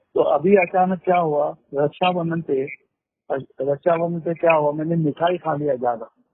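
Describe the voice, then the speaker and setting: A man speaks in a high pitch with fairly even intonation. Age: 60s. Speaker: caller. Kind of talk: phone call.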